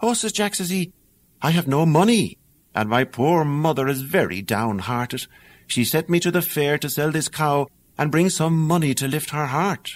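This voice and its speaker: Here a man with an Irish accent speaks at a moderate pace with lively intonation. The recording is very clean, with a silent background. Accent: Irish brogue. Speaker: actor. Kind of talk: audiobook fairy tale reading.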